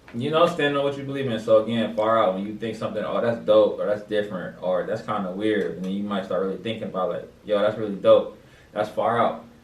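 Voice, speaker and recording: A man talks at a very fast pace with hardly any pauses. Audible room echo and noticeable background noise surround him. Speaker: podcast host. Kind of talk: casual chat. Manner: monotone.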